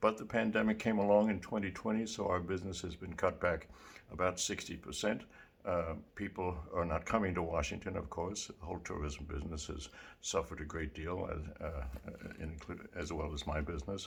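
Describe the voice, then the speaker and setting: A man's very deep, low, somewhat breathy voice in an American accent, fairly quick, with ordinary pitch variation. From New York City. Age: 80s+. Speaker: small business owner. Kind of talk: appeal for funding. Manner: halting.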